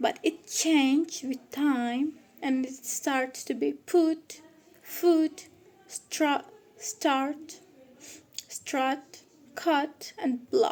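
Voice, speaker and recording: A woman with a non-native accent speaks at a very slow pace, her pitch high. Long, frequent pauses break up her ordinary pitch variation. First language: Turkish. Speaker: student presenter. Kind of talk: student presentation. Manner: halting.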